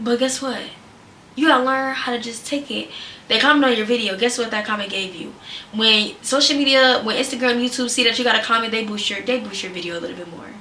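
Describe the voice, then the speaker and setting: Speech comes at a very fast pace with an animated tone and ordinary pitch variation. Noticeable background noise and audible room echo are present. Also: woman, high pitch for a woman, big swings in loudness. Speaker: content creator / vlogger. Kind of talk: casual advice vlog. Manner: loud.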